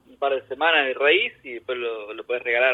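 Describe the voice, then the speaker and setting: This man talks at a fairly quick pace. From Argentina, Buenos Aires province (San Martín). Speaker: emigrant gardener. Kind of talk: casual interview. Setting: remote call from home.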